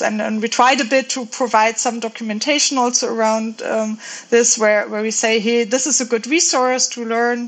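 With a German accent, a woman talks at a fairly high pitch and fairly even intonation, hardly pausing, against noticeable background noise. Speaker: software engineer. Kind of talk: casual chat. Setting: video call. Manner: halting.

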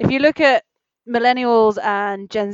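A woman speaks at a fairly slow pace with ordinary pitch variation. She has an unremarkable speaking voice. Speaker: film industry worker. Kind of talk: casual chat. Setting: video call.

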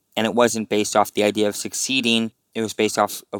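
The sound is dry and close with no echo as a man talks at a fairly quick pace. His fairly low voice holds a monotone, flat intonation. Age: 30s. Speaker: state senator. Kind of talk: interview.

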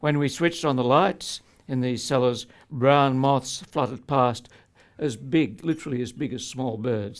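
With an Australian accent, a man talks at a moderate pace and medium pitch, with ordinary pitch variation. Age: 70s. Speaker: poet and tax lawyer. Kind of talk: speech with reading aloud. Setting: stage with audience.

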